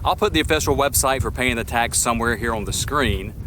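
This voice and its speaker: With a Southern US accent, a man speaks with lively intonation and vocal fry. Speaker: travel vlogger. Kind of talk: casual travel Q&A vlog.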